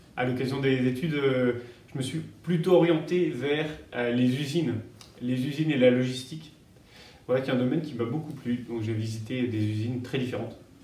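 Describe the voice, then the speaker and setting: A man with a dark, mellow, somewhat breathy tone talks fairly quickly at a medium pitch, with ordinary pitch variation. There are long, frequent pauses and audible room echo. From France, Paris region (Yvelines). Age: 30s. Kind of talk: interview. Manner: halting, many hesitations.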